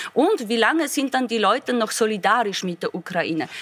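A woman with a fairly high pitch uses lively intonation at a moderate pace in an ordinary speaking voice. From Poland. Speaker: politician. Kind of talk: panel debate.

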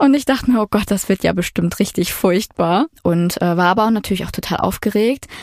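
In a plain, everyday voice, a woman talks at a fairly quick pace with ordinary pitch variation, the sound dry and close with no echo. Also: medium pitch for a woman, very even loudness. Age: 20s. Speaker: product manager telling her dating story. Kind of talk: storytelling interview.

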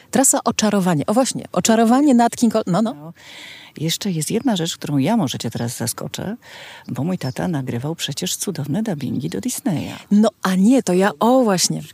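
This woman's dark, mellow tone at medium pitch carries vocal fry and very wide pitch swings. The sound is dry and close, with no echo. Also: moderate pace. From Poland, Kraków. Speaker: festival organizer, daughter of a singer. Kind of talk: casual chat. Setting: outdoors in a garden.

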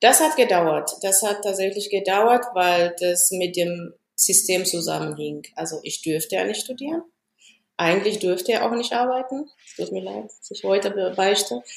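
A woman's medium-pitched voice with lively intonation and big swings in loudness. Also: moderate pace. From Ethiopia. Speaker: engineer. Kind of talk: interview.

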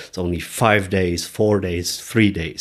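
A man with a German accent, very cleanly recorded against a silent background. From Germany, Munich. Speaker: motorcycle adventurer and speaker. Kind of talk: interview. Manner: halting.

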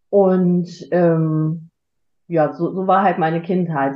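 A woman with a fairly low pitch at a very slow pace. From Germany, Frankfurt. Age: 50s. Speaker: podcast guest. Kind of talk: casual chat. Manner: halting.

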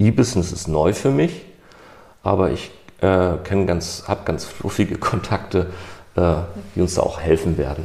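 Speaking at a fairly slow pace with long, frequent pauses, a man uses a very deep, low pitch with ordinary pitch variation. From northern Germany, Hamburg. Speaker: IT project manager. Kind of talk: casual chat.

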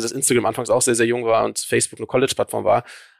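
A man speaks at a very fast pace. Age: 30s. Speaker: social media agency founder. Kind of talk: interview. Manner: hesitant, many fillers.

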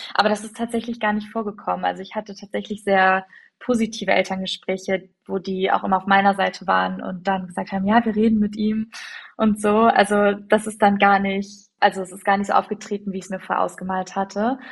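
A woman speaks at a medium pitch and a fairly quick pace in a somewhat breathy, monotone, flat voice. Her loudness swings a lot. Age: 20s. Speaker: teacher trainee. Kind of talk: casual chat.

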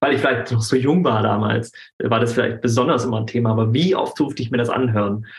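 A man talks at a very fast pace with ordinary pitch variation. Noticeable background noise sits behind him. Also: medium pitch for a man. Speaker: anti-bullying coach. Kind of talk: casual interview. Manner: halting.

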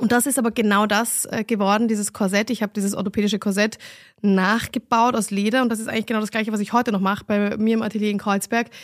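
At a very fast pace and in a monotone, flat intonation, a woman with a fairly high pitch speaks in a very clean recording with a silent background. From Vienna, Austria. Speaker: fashion designer and entrepreneur. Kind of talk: interview answers, casual conversation.

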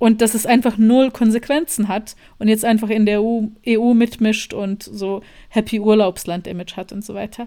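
The voice has a dark, mellow tone and fairly even intonation, moving at a moderate pace with big swings in loudness. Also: woman, fairly high pitch for a woman. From Bosnia. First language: Bosnian (speaking German). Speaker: journalist and filmmaker. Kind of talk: interview.

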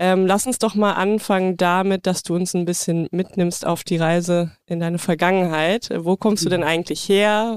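A woman has an unremarkable speaking voice at a medium pitch. She speaks at a moderate pace with fairly even intonation. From rural Germany. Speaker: podcast co-host. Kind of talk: casual chat; scripted intro.

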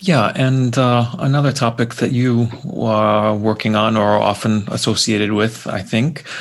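This is a plain, everyday voice, moving at a moderate pace and keeping a fairly even intonation. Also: man. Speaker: podcast co-host. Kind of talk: interview conversation.

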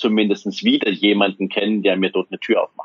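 A man speaks with a fairly low voice. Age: 40s. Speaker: wealth manager. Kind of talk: interview.

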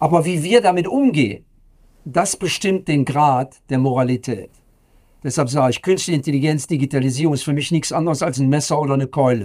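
Speaking at a fairly quick pace, a man has an unremarkable speaking voice, fairly high in pitch with ordinary pitch variation. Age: 60s. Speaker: professor. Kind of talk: interview.

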